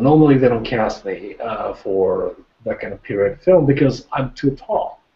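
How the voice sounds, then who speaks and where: The speech unfolds at a fairly slow pace, with audible room echo around it. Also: man. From Japan. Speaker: actor. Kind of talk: casual chat; interview answer. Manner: halting. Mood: modest, friendly. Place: home room. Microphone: webcam.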